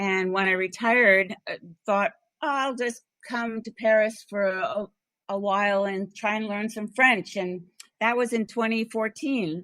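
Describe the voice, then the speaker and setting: Speaking fairly slowly with an American accent, a woman uses a fairly high pitch, ordinary pitch variation, and a bright, sharp tone. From US East Coast. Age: 70s. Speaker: author, retired psychotherapist. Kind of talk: interview. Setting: international call.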